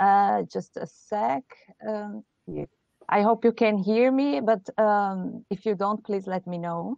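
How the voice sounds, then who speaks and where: A woman speaks at a very slow pace in a Portuguese accent. Her pitch varies in an ordinary way. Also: medium pitch for a woman. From Brazil. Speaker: game designer pitching. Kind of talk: game pitch.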